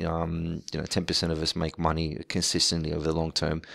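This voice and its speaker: The recording is very clean with a silent background as a man speaks at a very deep, low pitch and a moderate pace. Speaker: day trader and video blogger. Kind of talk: casual video update. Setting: at home, child asleep next door. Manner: quieter than usual, keeping voice down; hesitant, many fillers and repetitions.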